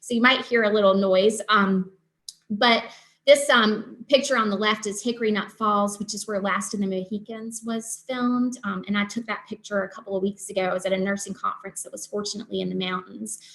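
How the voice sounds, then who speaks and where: A woman with a Southern US accent at a fairly quick pace, with fairly even intonation, big swings in loudness and a quiet background. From Eastern North Carolina. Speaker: nurse practitioner and nursing professor; nursing professor. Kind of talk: lecture. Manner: hesitant with many ums. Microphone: video call.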